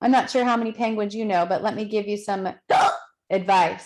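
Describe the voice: The background is quiet throughout. Someone does plain reading aloud.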